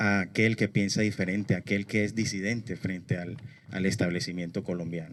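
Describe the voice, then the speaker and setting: A man speaks in a normal speaking voice at a fairly low pitch and a moderate pace. His intonation is fairly even, and the recording is very clean with a silent background. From Colombia, Barranquilla. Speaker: human rights activist. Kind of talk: speech at a memorial event.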